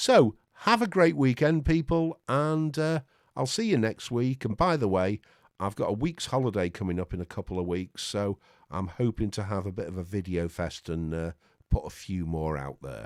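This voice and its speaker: Speaking with a Lancashire accent, a man uses a fairly low pitch with very wide pitch swings at a moderate pace. The very clean recording has a silent background and a dry, close sound with no echo. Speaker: tech YouTuber. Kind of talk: casual tech review talk. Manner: halting, repeated words.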